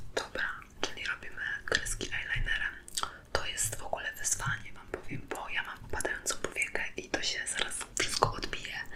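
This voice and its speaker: A whispering voice moves at a fairly quick pace over noticeable background noise. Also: woman. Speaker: ASMR creator. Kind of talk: ASMR makeup product test, casual talk to camera.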